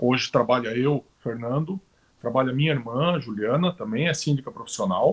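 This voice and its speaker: Speaking at a moderate pace, a man has a plain, everyday voice. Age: 40s. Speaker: professional condo manager. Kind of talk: live-stream panel talk. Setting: live stream.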